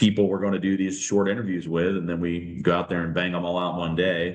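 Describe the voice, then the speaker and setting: The intonation is flat and monotone. It comes with an American accent. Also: man. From Ohio, Midwest US. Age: 40s. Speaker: lawyer. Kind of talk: podcast interview. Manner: casual, many fillers.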